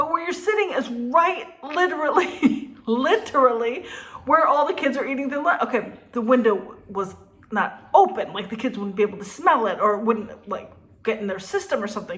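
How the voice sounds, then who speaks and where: A woman's high, animated voice at a moderate pace, with very wide pitch swings and noticeable background noise. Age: 50s. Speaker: restaurant owner and vlogger. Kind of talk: casual storytelling vlog.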